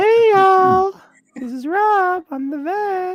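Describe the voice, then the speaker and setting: Squeaky and extremely high in pitch, the put-on character voice moves at a fairly slow pace. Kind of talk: friendly, folksy.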